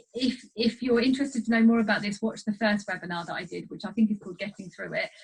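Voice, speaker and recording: Speaking at a very fast pace, a woman with a fairly high pitch sounds somewhat breathy, showing ordinary pitch variation and big swings in loudness. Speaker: clinical psychologist. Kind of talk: webinar talk.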